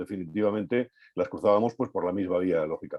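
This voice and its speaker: A man's fairly low voice with a dark, mellow tone against a quiet background. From Madrid, Spain (Vallecas). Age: 60s. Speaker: author. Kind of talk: book presentation talk. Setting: video call. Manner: hesitant, many filler sounds.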